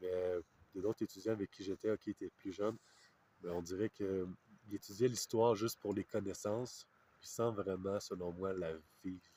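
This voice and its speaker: A man with a Quebec accent speaks at a moderate pace in a fairly low, dark, mellow voice with a monotone, flat intonation and long, frequent pauses, the sound dry and close with no echo. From Quebec, Canada. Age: 30s. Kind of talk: interview answer. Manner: hesitant, reflective, many fillers.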